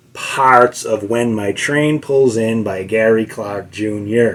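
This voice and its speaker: A man with a Boston accent speaks very slowly at a medium pitch. Noticeable background noise is present. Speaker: guitar teacher. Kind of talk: tutorial. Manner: halting, many fillers; casual.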